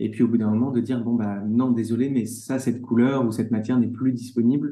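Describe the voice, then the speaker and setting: Dark and mellow in tone, the voice holds a monotone, flat intonation. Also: man. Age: 30s. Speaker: leather goods brand co-founder. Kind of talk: interview. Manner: halting, many repetitions and fillers.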